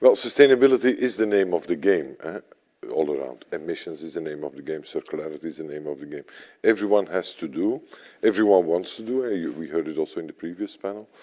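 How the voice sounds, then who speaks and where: A man with a European accent speaks very fast in a very deep, low voice, his dark, mellow tone carrying lively intonation and big swings in loudness. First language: not English. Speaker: sustainability network executive. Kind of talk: panel discussion. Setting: stage with audience.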